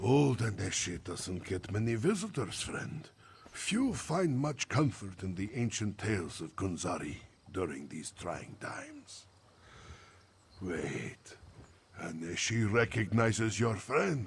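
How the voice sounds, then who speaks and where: Putting on a character voice, a man talks at a fairly low pitch and a fairly slow pace. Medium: video game. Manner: refers to himself in third person.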